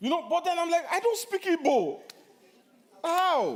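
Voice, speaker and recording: The speaker is a man. He has a Nigerian accent. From Nigeria (Yoruba). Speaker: pastor. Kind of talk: sermon Q&A. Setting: church.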